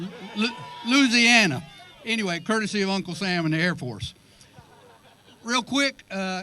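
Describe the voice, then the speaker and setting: A man's raised, projected voice, high in pitch and bright and sharp in tone, with a strong Southern US accent. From South Carolina, US South. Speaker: father of the groom. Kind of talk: wedding speech. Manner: fast.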